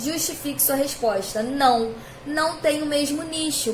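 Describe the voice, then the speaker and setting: There is audible room echo and noticeable background noise as a woman speaks at a fairly slow pace with ordinary pitch variation. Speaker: school science teacher. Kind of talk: recorded video lesson.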